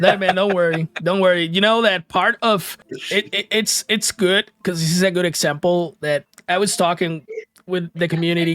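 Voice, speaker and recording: A man with a high pitch speaks in a Puerto Rican accent at a moderate pace, with ordinary pitch variation. The sound is dry and close with no echo. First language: Spanish. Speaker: podcast host and streamer. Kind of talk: casual interview chat.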